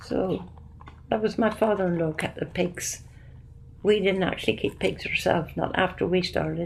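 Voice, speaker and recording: A woman with a medium pitch talks fairly slowly, her lively intonation touched by vocal fry. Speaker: retired farmer. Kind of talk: oral history interview answer. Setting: interview recording.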